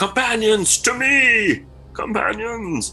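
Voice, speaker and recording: With light background noise behind it, a put-on character voice shouts at a very slow pace in a fairly high pitch. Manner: shouting loudly.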